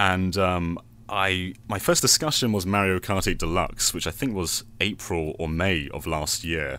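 A man's very deep, low voice with a British accent, bright and sharp in tone, at a fairly slow pace with ordinary pitch variation. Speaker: podcast guest and game video creator. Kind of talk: casual chat.

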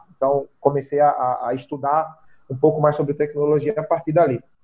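A man's normal speaking voice, fairly high in pitch, at a moderate pace with fairly even intonation. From Brazil, rural Pernambuco (Zona da Mata). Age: 30s. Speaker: real estate broker. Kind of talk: podcast interview.

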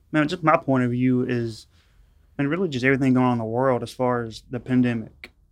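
Talking fairly quickly with fairly even intonation, a man with a medium pitch speaks in a Louisiana accent. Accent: Louisiana Southern. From rural northwest Louisiana. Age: 30s. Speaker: narcotics police officer. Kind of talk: casual chat.

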